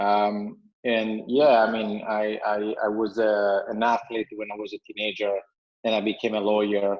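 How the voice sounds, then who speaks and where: In a monotone, flat intonation, a man speaks at a moderate pace with a fairly low pitch. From Italy. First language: Italian. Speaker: entrepreneur, company CEO. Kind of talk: podcast interview.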